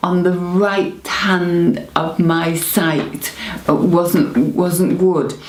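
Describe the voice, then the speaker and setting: Speaking at a very slow pace with a northern English accent, a woman with a fairly low pitch is heard over noticeable background noise and audible room echo. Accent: northern English (Greater Manchester). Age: 70s. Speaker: stroke patient. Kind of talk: testimony. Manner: halting, hesitant with fillers and repetitions.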